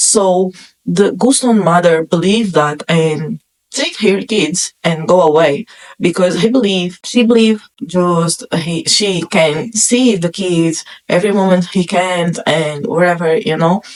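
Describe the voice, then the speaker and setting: A woman with a non-native accent, fairly low pitch, ordinary pitch variation, very even loudness, and a fairly slow pace. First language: not English. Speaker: film reviewer YouTuber. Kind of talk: casual movie review monologue.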